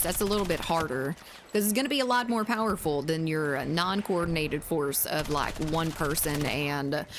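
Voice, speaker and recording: Moderate-paced speech in a Southern US accent, with noticeable background noise. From Zimbabwe. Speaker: gaming streamer. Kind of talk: live gameplay stream chat. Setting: live stream reading chat. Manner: casual, halting with fillers.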